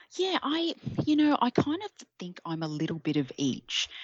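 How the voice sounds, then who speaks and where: Her accent is Australian. The speaker is a woman. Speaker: Etsy shop owner. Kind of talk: interview.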